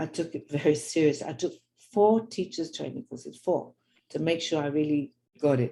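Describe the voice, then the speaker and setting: A woman with a London accent talks at a fairly quick pace. Her voice is very deep and low, with a dark, mellow tone. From London, England. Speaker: religious teacher and author. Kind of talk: storytelling talk.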